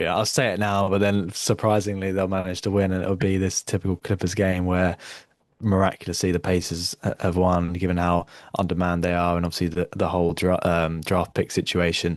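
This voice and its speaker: A man with a British accent, very deep and low in pitch, fairly quick, monotone and flat, at very even loudness against a quiet background. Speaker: podcast host. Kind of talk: casual chat. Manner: halting, many fillers and repeated words.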